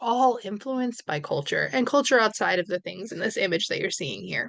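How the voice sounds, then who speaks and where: A woman talks with vocal fry. The background is quiet. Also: dry, close sound with no echo. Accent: American. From New York. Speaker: university lecturer. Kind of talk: recorded lecture.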